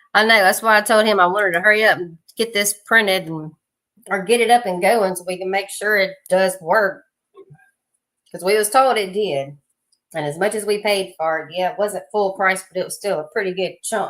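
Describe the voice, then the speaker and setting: With a slight Southern US accent, the speaker keeps a moderate pace and fairly even intonation while the loudness swings widely. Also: woman, medium pitch for a woman. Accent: slight Southern twang. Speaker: 3D printing streamer. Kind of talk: casual chat. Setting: livestream.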